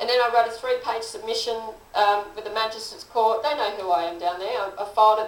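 Someone with an Australian accent talks at a very fast pace with fairly even intonation. There is audible room echo. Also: woman. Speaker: political candidate and teacher; candidate, teacher. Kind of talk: interview. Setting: studio. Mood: aggrieved, earnest. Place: studio.

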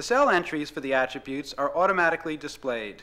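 Against a quiet background, a man talks at a fairly quick pace in a high pitch with a bright, sharp tone and very wide pitch swings. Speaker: narrator. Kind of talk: scripted product demo narration. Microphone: old recording.

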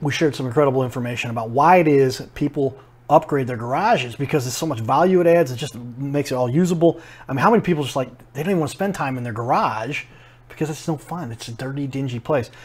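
Somewhat breathy male voice at a very fast pace with ordinary pitch variation. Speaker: show host. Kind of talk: TV interview host intro. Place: shop. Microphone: lapel.

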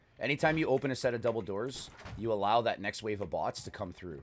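A man's fairly low voice with a slight Canadian accent, a very fast pace and lively intonation, over light background noise. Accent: mild Canadian English. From Canada. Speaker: gaming streamer. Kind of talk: live gameplay commentary. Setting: live stream with voice chat. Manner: animated.

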